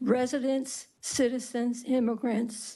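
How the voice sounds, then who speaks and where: A woman speaks with a dark, mellow tone. Her pitch sits fairly high. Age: 60s. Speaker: public hearing witness. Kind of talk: legislative testimony.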